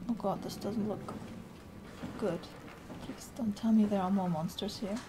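A woman's medium-pitched voice with a German accent at a moderate pace, over noticeable background noise. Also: fairly even intonation. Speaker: gamer streamer. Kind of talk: gaming commentary. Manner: scared, panicky. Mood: nervous, scared, self-mocking.

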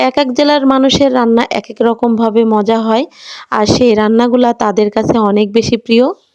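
Recorded dry and close with no echo, a woman talks in a normal speaking voice at a fairly high pitch with fairly even intonation. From Bangladesh, Natore district. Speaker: village cooking vlogger. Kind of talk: vlog narration while cooking. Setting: outdoors at a clay stove at a village home.

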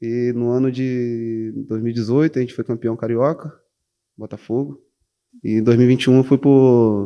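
Against a quiet background, a man with a dark, mellow tone speaks at a very slow pace. His intonation stays fairly even. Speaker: professional footballer (defender). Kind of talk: interview. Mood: calm, reflective. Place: studio. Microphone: handheld.

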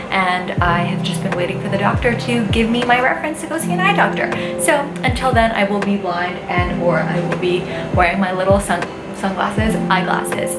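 With clear music in the background, a woman speaks at a fairly quick pace. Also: ordinary pitch variation. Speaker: beauty vlogger. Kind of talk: casual vlog chat. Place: home room. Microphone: phone near.

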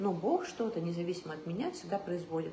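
A woman speaks at a fairly quick pace. There is audible room echo and light background noise. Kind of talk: casual vlog talk about faith. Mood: calm, reflective. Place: home room. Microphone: phone near.

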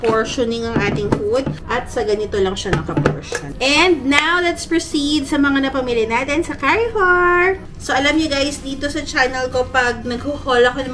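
Over light background noise, a woman speaks at a high pitch with lively intonation. She keeps a moderate pace with hardly any pauses. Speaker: vlogger. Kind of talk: casual vlog chat. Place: home room. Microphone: phone near.

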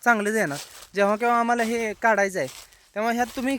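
A man does the talking. His pitch is high. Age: 20s. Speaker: farmer. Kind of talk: walkthrough video. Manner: casual.

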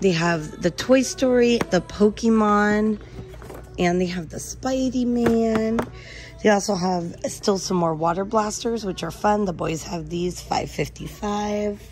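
Faint music plays in the background as a woman talks with ordinary pitch variation. The sound is dry, with no echo. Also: fairly slow pace. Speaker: shopping vlogger. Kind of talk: casual vlog chat. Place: shop. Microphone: phone near.

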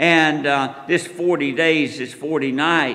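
A man talks at a very slow pace. His pitch sits fairly high. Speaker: preacher. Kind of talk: sermon. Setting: church. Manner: animated, fervent preaching with audience call-and-response; folksy, conversational, rhetorical questions. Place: church. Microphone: podium.

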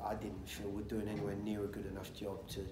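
Noticeable background noise runs under this recording. A man speaks at a fairly low pitch. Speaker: football coach. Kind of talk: press conference answer. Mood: calm, measured. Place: hall.

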